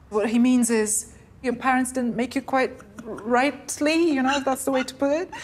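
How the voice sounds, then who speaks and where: Her pitch is high and her pace fairly slow. Noticeable background noise runs behind this woman's voice. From Poland. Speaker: Scots language scholar. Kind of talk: interview answer.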